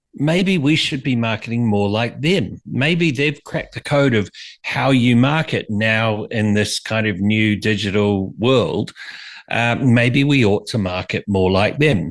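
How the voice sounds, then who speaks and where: Fairly slow, lively intonation from a man with a New Zealand accent, medium pitch, quiet background. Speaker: brand strategist and author. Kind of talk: interview.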